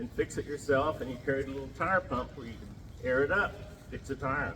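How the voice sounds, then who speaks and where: Fast-ish and bright, a man with an American accent and a fairly high pitch talks with vocal fry, a sharp tone, ordinary pitch variation and big swings in loudness. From Ponca Nation, Oklahoma. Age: old. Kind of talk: traditional storytelling.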